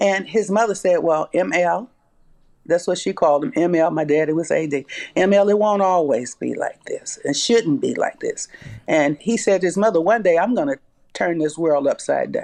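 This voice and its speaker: In a Southern US accent, the words come at a moderate pace. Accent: Southern US (Georgia). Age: 70s. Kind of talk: interview testimony.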